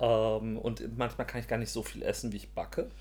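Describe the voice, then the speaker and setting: A man speaks at a moderate pace. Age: 40s. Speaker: podcast co-host. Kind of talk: casual chat.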